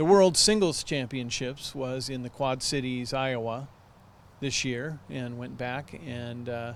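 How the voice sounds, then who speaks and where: A man with an unremarkable speaking voice talks at a fairly slow pace, medium in pitch, with ordinary pitch variation. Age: 60s. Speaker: amateur disc golf champion. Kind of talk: TV interview.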